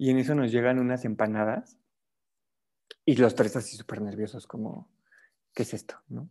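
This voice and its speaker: At a moderate pace, a man with a medium-pitched, dark, mellow voice keeps fairly even intonation, swings a lot in loudness, and takes long, frequent pauses. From Mexico. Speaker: traveler. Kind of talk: casual chat.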